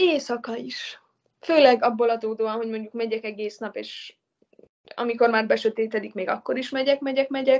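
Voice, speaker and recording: A woman speaks in a plain, everyday voice at a moderate pace, her fairly high pitch held in fairly even intonation while her loudness swings widely. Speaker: traveller and hitchhiker. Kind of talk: interview.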